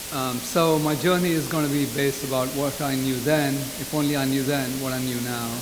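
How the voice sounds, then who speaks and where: Amid audible room echo and noticeable background noise, a man with a fairly high pitch talks at a fairly quick pace with hardly any pauses and a monotone, flat intonation. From England. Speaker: speaker at a community reunion. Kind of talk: speech. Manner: fast.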